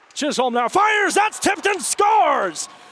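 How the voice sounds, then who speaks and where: A man at a moderate pace with very wide pitch swings, dry, close sound with no echo, and noticeable background noise. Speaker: sports play-by-play broadcaster. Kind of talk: live play-by-play call.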